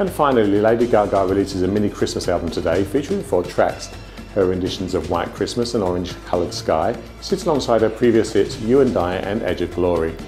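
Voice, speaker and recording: Over faint background music, a man speaks very fast. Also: fairly low pitch for a man, ordinary pitch variation. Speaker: news presenter. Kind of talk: news bulletin presenter. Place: studio.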